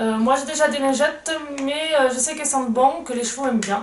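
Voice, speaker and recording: A woman at a moderate pace with ordinary pitch variation, noticeable background noise, and audible room echo. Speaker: equestrian vlogger. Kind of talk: unboxing video. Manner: halting.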